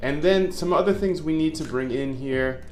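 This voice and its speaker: With noticeable background noise behind him, a man speaks at a moderate pace using lively intonation. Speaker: algorithmic trading educator. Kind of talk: coding tutorial. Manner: casual, conversational.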